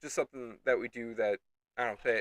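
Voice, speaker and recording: The sound is dry and close with no echo as a man with a medium-pitched voice speaks at a very fast pace with ordinary pitch variation. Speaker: gaming streamer. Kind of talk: live gameplay commentary. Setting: live stream. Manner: halting, stuttering.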